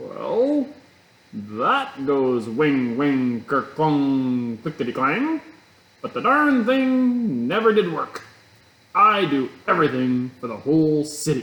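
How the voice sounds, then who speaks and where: Using a put-on character voice, a man speaks at a fairly high pitch. His pace is very slow. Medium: read story. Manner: muddled, grumbling.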